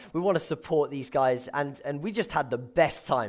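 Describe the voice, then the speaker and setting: A man with a southern English accent and very wide pitch swings, on a very clean recording over a silent background. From England, Milton Keynes. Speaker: youth pastor. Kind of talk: sermon. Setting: church.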